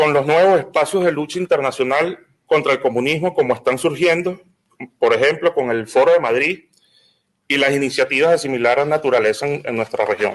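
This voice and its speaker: A man talks fairly quickly with a Venezuelan accent. His pitch variation is ordinary. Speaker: lawyer and political activist. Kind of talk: symposium panel talk. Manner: halting, frequent repetitions.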